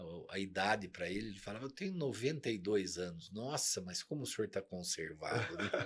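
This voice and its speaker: A man with an unremarkable speaking voice and a fairly low pitch talks at a fairly quick pace with hardly any pauses and ordinary pitch variation. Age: 50s. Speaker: company CEO. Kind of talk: interview.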